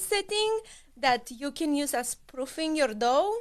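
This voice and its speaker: A woman's high voice with a Romanian accent, fairly slow in pace, with very wide pitch swings. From Romania, Bucharest. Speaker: cookware sales consultant. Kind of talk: interview.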